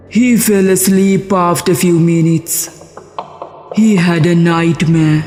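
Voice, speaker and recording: A cartoonish character voice at a middle pitch and fairly slow pace, with clear music in the background. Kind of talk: horror narration.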